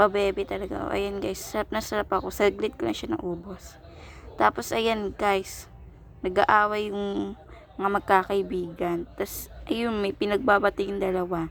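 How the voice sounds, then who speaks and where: A woman with a plain, everyday voice speaks at a fairly slow pace, using a medium pitch and ordinary pitch variation. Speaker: vlogger. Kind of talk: vlog voiceover narration. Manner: casual, chatty.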